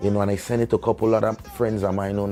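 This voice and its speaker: A man's animated, fairly low-pitched voice with a Virgin Islands accent. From US Virgin Islands, Saint Thomas. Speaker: reggae artist. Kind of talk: interview storytelling.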